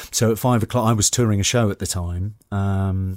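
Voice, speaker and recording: A man with a slight Geordie accent speaks at a moderate pace, his fairly low pitch held in fairly even intonation. The sound is dry and close with no echo, on a very clean recording with a silent background. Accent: slightly posh Geordie. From northern England, Newcastle upon Tyne. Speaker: actor and landscape photographer. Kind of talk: interview. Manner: halting, many repetitions.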